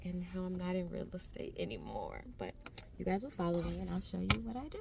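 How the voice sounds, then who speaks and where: A woman speaks at a fairly quick pace. The recording has audible room echo and noticeable background noise. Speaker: vlogger, HR recruiter. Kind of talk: casual vlog. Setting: office at work. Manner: talking low.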